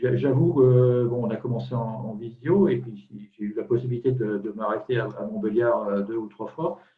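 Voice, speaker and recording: A man at a medium pitch and moderate pace, with ordinary pitch variation. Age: 60s. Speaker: client giving testimony. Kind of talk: testimony. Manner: halting, many repetitions.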